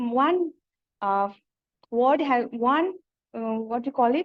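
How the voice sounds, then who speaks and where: With a Nepali accent, a woman talks in a lively intonation. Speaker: PhD researcher presenting a paper. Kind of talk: conference presentation. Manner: halting.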